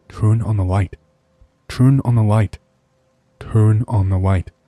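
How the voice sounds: A put-on character voice, guttural and whispering, at a fairly slow pace with very even loudness. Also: man.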